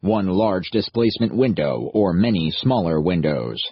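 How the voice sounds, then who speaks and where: A man's put-on character voice, very deep and low, at a moderate pace. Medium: read story. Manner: flat, formal, literal.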